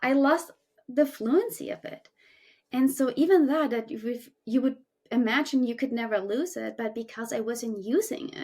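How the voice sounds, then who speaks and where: A woman with a German accent speaks at a moderate pace in a high pitch. Her intonation is lively, and her loudness swings widely. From Germany. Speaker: climbing coach and podcast co-host. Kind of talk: casual chat.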